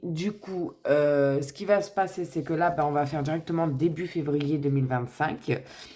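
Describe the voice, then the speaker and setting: A woman speaks with a very deep, low pitch in a dark, mellow tone. Her pace is moderate. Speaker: tarot reader. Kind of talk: tarot reading.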